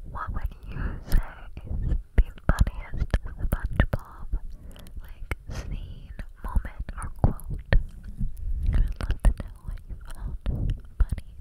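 Soft-spoken whispering at a very slow pace, broken by long, frequent pauses. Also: woman. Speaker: ASMR creator. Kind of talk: casual ASMR whisper chat. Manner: close soft whisper into microphone. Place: home room. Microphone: studio mic.

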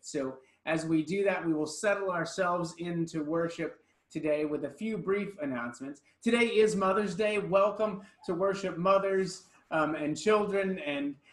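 There is audible room echo as a man speaks at a moderate pace with a high pitch and ordinary pitch variation. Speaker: pastor. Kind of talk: church announcements. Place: church.

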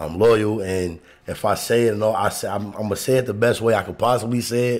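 The voice moves at a very fast pace with fairly even intonation. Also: man. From Chicago. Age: 40s. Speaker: podcast co-host. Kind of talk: casual chat. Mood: relaxed, candid. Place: studio. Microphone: studio mic.

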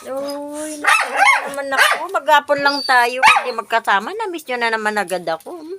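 A woman speaks in a high, raised and projected voice over noticeable background noise. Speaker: vlogger. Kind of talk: talking to her pet dogs. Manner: affectionate baby talk.

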